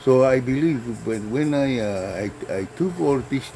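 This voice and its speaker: Over noticeable background noise, a man of medium pitch talks at a fairly slow pace with ordinary pitch variation. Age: 70s. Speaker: herbal medicine vlogger. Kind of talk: tutorial. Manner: halting, many fillers.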